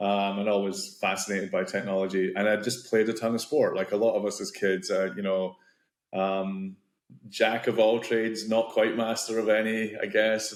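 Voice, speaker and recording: A man in a Scottish accent uses a fairly low pitch and fairly even intonation at a moderate pace. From Scotland. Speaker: tech founder, martial arts coach. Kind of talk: podcast interview.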